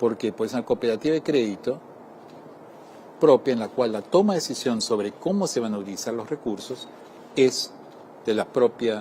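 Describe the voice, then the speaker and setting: A man's lively intonation at a moderate pace, amid noticeable background noise. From Argentina. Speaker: development bank representative. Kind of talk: interview.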